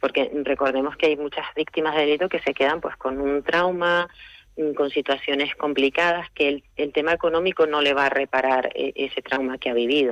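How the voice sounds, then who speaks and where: A woman's very deep, low voice at a moderate pace with fairly even intonation. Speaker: lawyer, restorative justice specialist. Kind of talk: radio interview answer.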